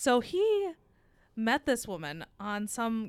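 Here a woman talks with lively intonation. The audio is very clean, and the background is completely silent. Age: 30s. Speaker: podcast host. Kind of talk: casual chat. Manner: animated.

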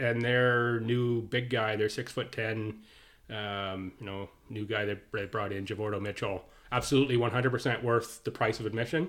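A man with an unremarkable speaking voice talks at a moderate pace. His medium pitch holds fairly even intonation. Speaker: podcast co-host. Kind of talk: casual chat.

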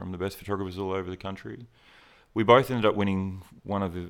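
The speaker talks at a very fast pace with an Australian accent. The recording is very clean, with a silent background. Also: man. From rural Queensland, Australia. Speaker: portrait photographer. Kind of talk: interview, casual chat. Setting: studio.

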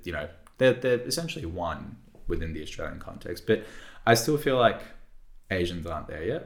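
A somewhat breathy man at a medium pitch and a moderate pace. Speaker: podcast host. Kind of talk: casual podcast conversation.

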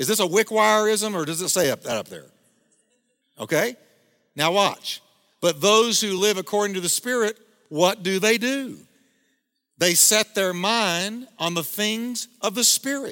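A man with a high voice speaks up in a raised, projected way, his tone bright and sharp, his pitch varying in an ordinary way, at a fairly slow pace with long, frequent pauses, in a very clean recording with a silent background. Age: 50s. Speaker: pastor. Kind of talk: sermon.

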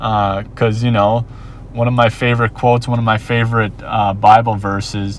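Medium-pitched male speech in an American accent, flat and monotone, over noticeable background noise. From Minnesota, US. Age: 30s. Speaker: podcast host. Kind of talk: solo monologue. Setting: outdoors, watching surfers. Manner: casual, many fillers.

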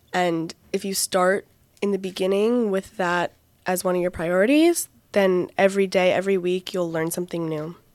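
A normal speaking voice at a moderate pace, with fairly even intonation, in a very clean recording with a silent background. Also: woman, medium pitch for a woman. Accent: American. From Connecticut, US. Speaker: teaching fellow living in Israel. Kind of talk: casual chat.

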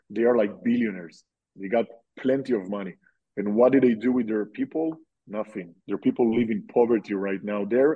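A man with an Israeli accent talks at a fairly quick pace, his medium pitch showing ordinary variation. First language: Hebrew. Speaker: army reservist and nurse. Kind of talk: interview.

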